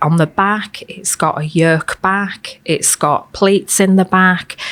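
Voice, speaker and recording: A woman's medium-pitched voice in a Hull accent at a very slow pace. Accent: Hull Hessle Road. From Hull, Hessle Road area, northern England. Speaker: fashion historian. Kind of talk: interview conversation. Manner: hesitant with frequent ums.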